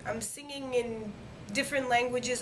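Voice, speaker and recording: A woman speaks with fairly even intonation. There is audible room echo and noticeable background noise. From Quebec, Montreal. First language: French. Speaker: singer, talent show winner. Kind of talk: interview. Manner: hesitant, many fillers.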